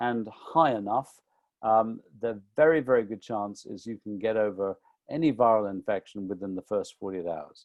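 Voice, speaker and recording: Recorded dry and close with no echo against a quiet background, a man with a British accent talks at a moderate pace with lively intonation. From UK. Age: 60s. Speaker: nutrition author. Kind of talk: webinar talk. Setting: online webinar.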